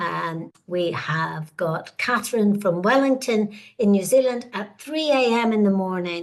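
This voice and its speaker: Very slow speech from a woman with a warm tone, medium pitch and lively intonation. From Northern Ireland. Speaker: webinar host, career researcher. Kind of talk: webinar presentation. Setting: online webinar. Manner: warm, hesitant with frequent fillers.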